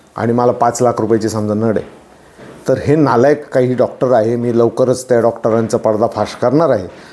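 The man's voice has a dark, mellow tone at medium pitch. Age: 40s. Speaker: social commentator vlogger. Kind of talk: opinion monologue. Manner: impassioned.

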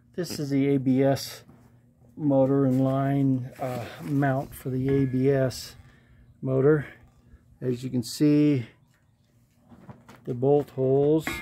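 The delivery is at a very slow pace over light background noise. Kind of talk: tutorial. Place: garage.

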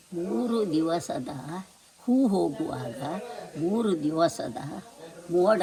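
Over noticeable background noise, a woman speaks at a medium pitch with very wide swings in pitch. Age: 80s+. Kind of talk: folk tale told to family.

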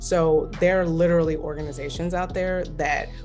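The speaker has an American accent. Music plays clearly in the background. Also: woman. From Baltimore, Maryland. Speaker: clinical social worker and therapist. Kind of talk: interview answer. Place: home room. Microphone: phone near.

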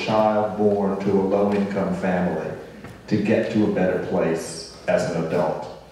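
Heavy room echo surrounds a man who speaks at a fairly slow pace. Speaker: panel moderator. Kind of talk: moderated panel discussion. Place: stage.

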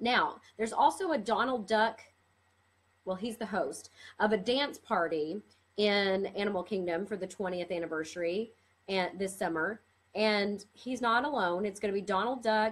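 The pitch variation here is ordinary. A woman delivers her words at a fairly slow pace. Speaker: theme park news vlogger. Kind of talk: casual vlog chat. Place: home room. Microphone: webcam.

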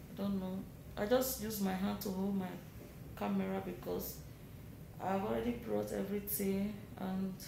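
A woman talks at a moderate pace. Noticeable background noise and room echo can be heard. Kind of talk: casual vlog chat. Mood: worried but calm. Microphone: phone near.

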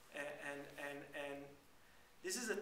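A man with a fairly high pitch speaks amid audible room echo and light background noise. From Israel. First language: Hebrew. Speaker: journalist and blogger. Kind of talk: panel debate. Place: classroom. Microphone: camera far.

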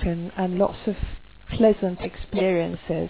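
Recorded dry with no echo over light background noise, a woman speaks at a moderate pace with fairly even intonation. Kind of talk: casual vlog chat. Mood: stressed, reflective. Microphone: headset.

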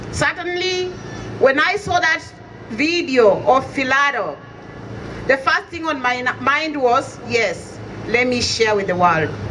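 A woman uses a raised, projected voice with a high pitch and very wide pitch swings. She goes at a very slow pace with long, frequent pauses, over light background noise. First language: an African language. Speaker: community association representative; speaker. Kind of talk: rally speech. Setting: outdoor vigil with crowd. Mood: grieving, earnest. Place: street. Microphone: camera far.

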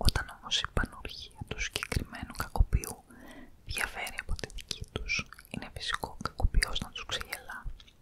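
A soft-spoken woman whispers at a moderate pace. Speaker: ASMR reader. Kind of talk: soft-spoken reading of a story. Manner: soft close-mic ASMR whisper. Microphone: studio mic.

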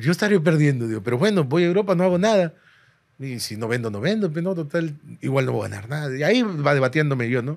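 Over a quiet background, the speech runs at a very fast pace with lively intonation. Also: man, fairly high pitch for a man. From Peru. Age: 30s. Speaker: stand-up comedian. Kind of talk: casual chat. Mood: candid, reflective, joking. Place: studio. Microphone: studio mic.

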